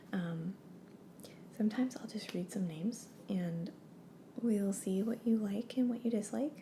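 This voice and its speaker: A soft-spoken, somewhat breathy woman with a dark, mellow tone, fairly high pitch, ordinary pitch variation and a moderate pace. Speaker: name consultant character. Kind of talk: ASMR roleplay.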